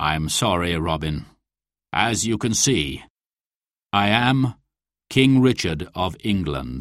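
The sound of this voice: A man in a put-on character voice, low in pitch, with a fairly bright tone, lively intonation and a slow pace, on a very clean recording with a silent background.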